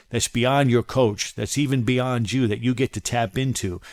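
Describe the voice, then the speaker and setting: An ordinary speaking voice with an American accent, at a moderate pace and fairly even intonation. The recording is very clean with a silent background and a dry, close sound with no echo. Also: man. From Maryland, US (Silver Spring, near Washington DC). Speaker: podcast host and professional coach. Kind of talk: motivational monologue.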